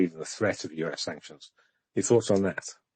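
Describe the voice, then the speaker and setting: A man with a very deep, low pitch talks in a British accent. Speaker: podcast co-host discussing Ukraine news. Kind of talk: casual discussion on live audio space. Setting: live X audio space. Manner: monotone; hesitant, many fillers.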